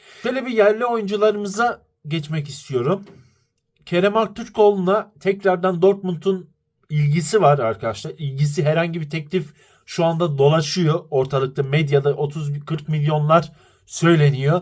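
A man speaks at a fairly slow pace in a fairly high voice for a man. His tone is animated, with lively intonation. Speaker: football commentary YouTuber. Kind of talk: fan opinion monologue.

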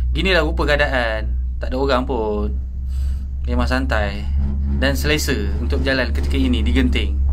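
Long, frequent pauses break up the speech, with noticeable background noise throughout. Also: moderate pace. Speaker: tourist filming the ride. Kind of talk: casual vlog commentary. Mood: relaxed, briefly awed by height. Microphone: phone near.

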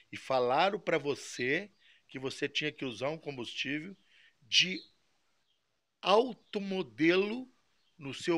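A man talks at a very slow pace with long, frequent pauses, his pitch fairly high and his tone bright and sharp. The recording is very clean, with a silent background. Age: 50s. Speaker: model engine mechanic and video maker. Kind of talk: aggrieved monologue to a viewer. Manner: halting, repetitive.

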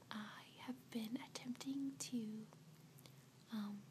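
A soft-spoken woman with a tired tone and very wide pitch swings, over light background noise. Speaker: vlogger. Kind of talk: casual vlog chat. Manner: soft-spoken, tired, close to camera. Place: home room. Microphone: webcam.

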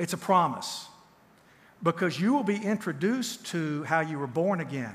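With a Southern US accent, a man talks at a moderate pace in a high pitch with lively intonation. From Tennessee. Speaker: counselor and author; pastor or teacher. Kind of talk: sermon. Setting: church. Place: church.

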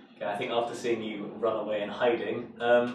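Strong room echo surrounds a man with a fairly low voice. He talks at a fairly quick pace with little pitch movement.

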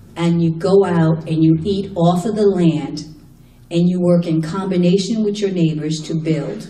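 Heard with audible room echo, a woman speaks at a fairly slow pace with a fairly low pitch and fairly even intonation. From Haiti-born, raised in the US. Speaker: human rights attorney and activist; human rights attorney. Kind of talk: panel talk. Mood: impassioned, critical. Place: hall.

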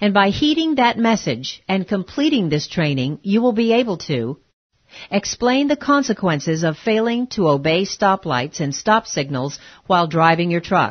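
A dramatic-toned woman's voice, somewhat breathy, at a medium pitch with very wide pitch swings. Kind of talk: scripted training-film narration. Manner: formal, earnest, measured, authoritative announcer delivery with rhetorical questions; slow, deliberate pacing, dramatic pauses before the moral point.

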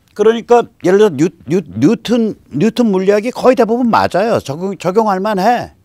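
Against a quiet background, a man talks at a moderate pace with a dry sound and no echo. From South Korea. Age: 60s. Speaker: political commentator. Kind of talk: lecture. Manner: animated. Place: studio. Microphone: lapel.

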